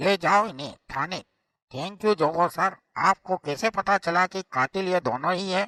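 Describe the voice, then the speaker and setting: Putting on a cartoonish character voice, a man with a high pitch talks at a moderate pace in a dry, close sound with no echo. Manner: respectful, deferential.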